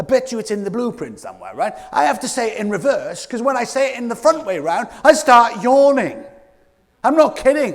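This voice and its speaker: With a British accent, a man speaks at a fairly quick pace in an extremely high pitch, his tone animated, his intonation lively and his loudness swinging widely. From Scotland. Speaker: keynote speaker. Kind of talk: motivational keynote talk. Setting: stage with audience. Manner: fast.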